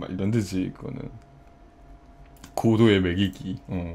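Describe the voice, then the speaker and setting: A man's fairly low voice at a fairly slow pace, with ordinary pitch variation and noticeable background noise. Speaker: livestreamer. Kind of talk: casual chat. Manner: animated.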